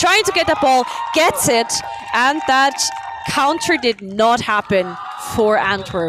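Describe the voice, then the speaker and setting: With music in the background, the speaker talks at a fairly slow pace in a non-native accent, with very wide pitch swings and long, frequent pauses. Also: woman, high pitch for a woman, very even loudness. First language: not English. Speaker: sports commentator. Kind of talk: live commentary.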